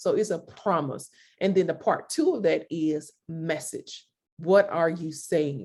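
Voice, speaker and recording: A woman talks at a fairly slow pace in a fairly low voice. She has a slight country accent. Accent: slight country twang. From US South, Mississippi. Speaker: creative consultant, entrepreneur. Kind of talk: interview.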